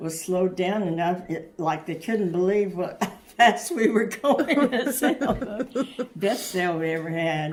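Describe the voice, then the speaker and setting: A woman at medium pitch, fairly slow and with lively intonation, over noticeable background noise. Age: 80s+. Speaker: grandmother. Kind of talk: interview answer.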